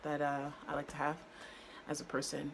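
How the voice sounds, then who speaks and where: A woman with a very deep, low pitch. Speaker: lifestyle vlogger. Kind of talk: casual vlog monologue. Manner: halting, many fillers.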